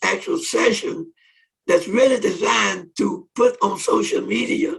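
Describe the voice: Fairly slow and high-pitched, a man speaks with ordinary pitch variation, vocal fry, a fairly bright tone and a slightly husky edge.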